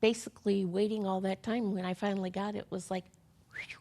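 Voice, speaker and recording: A woman with an American accent speaks at a medium pitch in a dark, mellow tone, her intonation flat and monotone. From US Midwest, Chicago. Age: 60s. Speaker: breast cancer survivor. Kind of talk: testimony. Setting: studio. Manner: halting.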